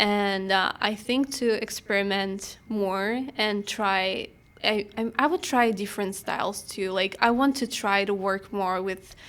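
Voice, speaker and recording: On a very clean recording with a silent background, a woman of medium pitch speaks at a fairly slow pace with fairly even intonation and hardly any pauses. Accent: non-native. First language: not English. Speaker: photographer. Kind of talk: interview conversation.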